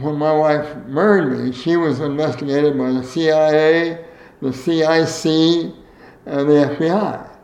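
Here a man speaks at a fairly high pitch with ordinary pitch variation. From US Midwest. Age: 80s. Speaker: former state legislator, veteran, interviewee. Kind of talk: oral history interview. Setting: interview at his home.

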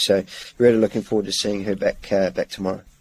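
In a New Zealand accent, a man talks fairly quickly at a fairly low pitch. The sound is dry and close, with no echo. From New Zealand, South Island. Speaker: racehorse trainer. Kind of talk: interview. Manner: halting, many fillers.

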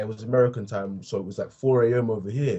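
A somewhat breathy man speaks at a fairly quick pace. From England, Essex. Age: 20s. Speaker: podcast host. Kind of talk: interview. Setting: remote call across time zones.

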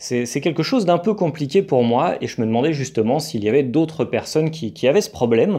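This man's voice sits fairly high and has a dark, mellow tone. He talks at a fairly quick pace with hardly any pauses. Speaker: podcaster on expat life. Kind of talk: solo podcast monologue. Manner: halting, with many repeated words.

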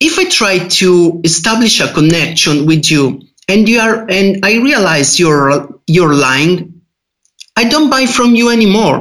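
A man with an Italian accent speaks fairly slowly at a high pitch. His intonation is lively and his loudness very even. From Italy. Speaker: freelance IT developer. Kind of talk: casual podcast interview. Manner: halting.

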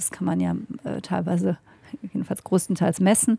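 A woman's voice has a dark, mellow tone. The recording is very clean, with a silent background. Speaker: podcast host and politician. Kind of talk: interview. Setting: parliament building.

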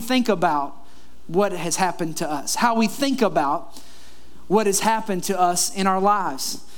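A man with an animated tone at a moderate pace, amid noticeable background noise. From Kentucky. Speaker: pastor. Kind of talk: sermon. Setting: church.

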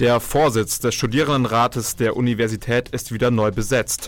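A man speaks at a moderate pace in a medium-pitched voice with fairly even intonation. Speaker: campus radio host. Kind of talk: news reading; radio talk show. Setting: studio. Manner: live.

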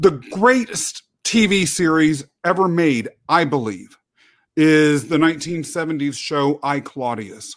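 A man with a plain, everyday voice and a fairly high pitch. He talks at a fairly slow pace with lively intonation. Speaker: guest. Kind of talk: casual conversation. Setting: video call. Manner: humorous, joking.

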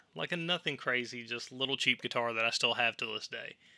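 A man with a Tennessee accent speaks in a bright, sharp tone on a very clean recording with a silent background and a dry, close sound with no echo. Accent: Southern US (Tennessee). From US South, Tennessee. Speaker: podcast host. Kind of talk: solo monologue podcast. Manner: casual, filler-heavy.

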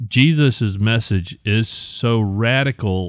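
A Southern US accent with ordinary pitch variation, on a very clean recording with a silent background. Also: man. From Alabama. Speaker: graphic designer and ministry board member. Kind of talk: casual chat.

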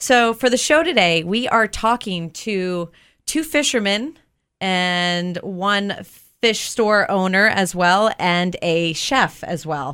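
Delivered at a very slow pace, this voice has a bright, sharp tone and lively intonation. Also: woman, medium pitch for a woman. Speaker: radio host. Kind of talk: casual radio interview. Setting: radio studio.

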